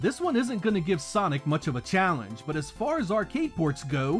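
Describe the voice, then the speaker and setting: A man's pitch swings very widely as music plays behind him. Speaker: retro game reviewer. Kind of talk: scripted video game review narration.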